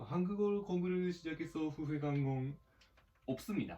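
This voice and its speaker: A fairly high-pitched man with a Japanese accent and a dark, mellow tone, at a fairly slow pace with ordinary pitch variation. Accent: Japanese accent in Korean. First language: Japanese (speaking Korean). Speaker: gaming youtuber. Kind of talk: casual gameplay commentary. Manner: halting.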